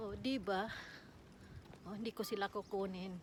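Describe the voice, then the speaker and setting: A woman speaks at a fairly slow pace. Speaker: vlogger. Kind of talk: walking vlog. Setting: outdoors. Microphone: no microphone.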